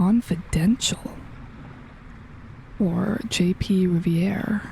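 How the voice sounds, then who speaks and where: Soft-spoken and very slow, a woman talks at medium pitch with fairly even intonation. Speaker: gaming youtuber. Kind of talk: let's play commentary. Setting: home recording at night.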